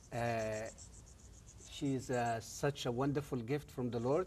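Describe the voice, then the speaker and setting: With an Arabic accent, a man speaks at a fairly slow pace in a medium pitch. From Egypt. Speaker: former Islamic professor. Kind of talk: testimony interview. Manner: hesitant, many fillers.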